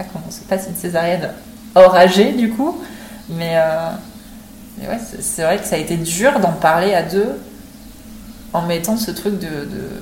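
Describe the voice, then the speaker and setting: With audible room echo, a woman speaks at medium pitch and a fairly slow pace, with ordinary pitch variation, big swings in loudness, and long, frequent pauses. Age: 20s. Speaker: mother sharing birth story. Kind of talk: testimony. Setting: in person, recorded together.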